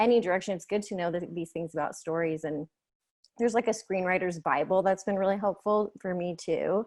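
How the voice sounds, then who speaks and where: A woman's ordinary speaking voice, medium in pitch with fairly even intonation and a fairly quick pace, over a quiet background. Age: 30s. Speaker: filmmaker. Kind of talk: panel Q&A interview. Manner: casual, many fillers.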